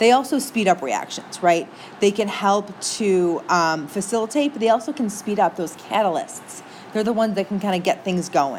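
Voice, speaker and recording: At a moderate pace, a woman with an American accent speaks with lively intonation over noticeable background noise. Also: medium pitch for a woman. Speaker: teacher. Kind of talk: lecture. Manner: casual, chatty.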